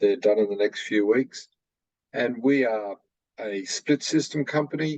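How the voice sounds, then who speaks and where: A man with an Australian accent speaks at a moderate pace with ordinary pitch variation, the sound dry and close with no echo. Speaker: manufacturer representative. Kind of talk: product presentation on video call.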